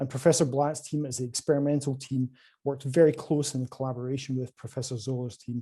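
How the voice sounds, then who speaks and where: Against a quiet background, a man with a Scottish accent speaks at a very fast pace in a dark, mellow, somewhat breathy tone, his medium pitch delivered in a monotone, flat way. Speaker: quantum computing company salesperson. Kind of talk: conference presentation. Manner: hesitant, many fillers.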